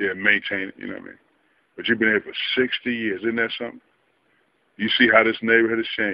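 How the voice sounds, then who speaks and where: With an American accent, a man rushes along at a very fast pace, his loudness swinging widely and his speech broken by long, frequent pauses. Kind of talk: casual interview questions. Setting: outdoors.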